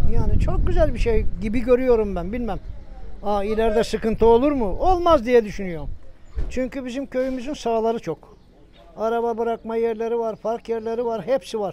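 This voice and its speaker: Pitch varies in an ordinary way as the speech runs at a moderate speed. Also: man, extremely high pitch for a man. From Turkey, Bursa region village. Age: 60s. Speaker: villager. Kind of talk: interview.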